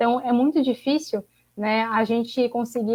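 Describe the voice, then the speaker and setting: A woman's high-pitched voice. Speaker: graduate student activist. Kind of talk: panel discussion closing remarks. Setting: online livestream.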